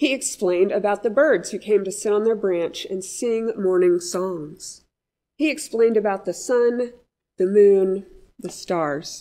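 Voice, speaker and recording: A woman speaks at a fairly slow pace, her tone dark and mellow as well as gentle and warm. The background is quiet. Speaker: pastor. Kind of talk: audiobook-style reading aloud of a children's story in church. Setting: church service message for all ages. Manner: gentle, warm storyteller pacing, clear and measured. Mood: gentle, calm storytelling. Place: church.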